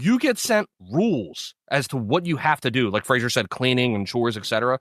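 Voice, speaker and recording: A man's medium-pitched voice, fairly quick and lively in intonation, with a dry, close sound and no echo. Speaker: podcast co-host. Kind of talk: casual chat. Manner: loud.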